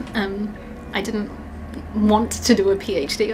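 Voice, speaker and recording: A woman of medium pitch speaks in a New Zealand accent with fairly even intonation. Noticeable background noise and audible room echo are present. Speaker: psychology professor. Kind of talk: interview testimony.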